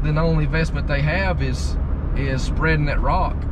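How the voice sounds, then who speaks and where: Despite loud background noise, a man's voice comes through dry with no echo as he speaks at a moderate pace. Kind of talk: casual vlog chat. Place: car. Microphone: camera far.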